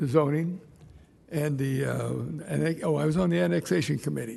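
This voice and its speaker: This man talks at a very fast pace in an American accent, with lively intonation. His pitch is fairly high for a man, and audible room echo surrounds his voice. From Ventura, California. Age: 80s+. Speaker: public commenter, local business owner. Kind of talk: public comment at city council meeting. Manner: halting.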